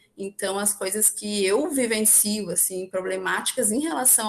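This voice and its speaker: Noticeable background noise sits behind a woman's fairly high voice. She talks at a fairly slow pace with ordinary pitch variation. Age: young. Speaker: young left-wing political activist. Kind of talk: podcast panel discussion.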